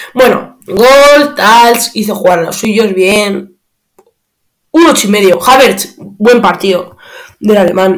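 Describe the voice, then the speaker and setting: A man speaks at a very slow pace. His pitch is high for a man, with ordinary pitch variation. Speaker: football podcaster. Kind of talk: match analysis monologue. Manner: halting, many fillers.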